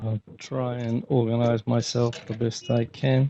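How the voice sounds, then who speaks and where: A man's medium-pitched voice in an Australian accent, monotone and flat, at a fairly slow pace. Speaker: conference speaker, healthcare manager. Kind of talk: conference keynote talk. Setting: conference stage with audience.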